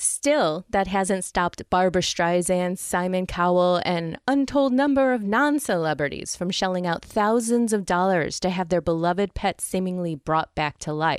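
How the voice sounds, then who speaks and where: Barely pausing, a woman with an ordinary speaking voice talks at medium pitch with lively intonation, recorded very cleanly with a silent background and a dry, close sound with no echo. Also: moderate pace. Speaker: podcast host. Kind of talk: podcast news segment read with humor.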